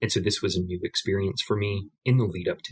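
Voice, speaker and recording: A man with an American accent speaks at a fairly quick pace in a fairly low, somewhat breathy voice. His intonation is fairly even. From United States. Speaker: card game player. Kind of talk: podcast interview.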